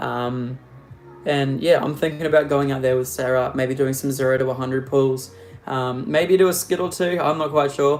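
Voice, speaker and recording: A man with an Australian accent, medium pitch, fairly even intonation and a moderate pace, with music in the background. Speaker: car youtuber. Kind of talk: live stream Q&A. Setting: live stream. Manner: casual, rambling with fillers.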